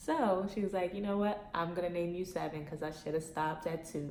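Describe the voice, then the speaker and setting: Audible room echo surrounds a woman talking at a moderate pace. Her pitch is fairly low and her intonation fairly even. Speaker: YouTuber, former reality TV personality. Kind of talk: casual Q&A vlog. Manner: monotone.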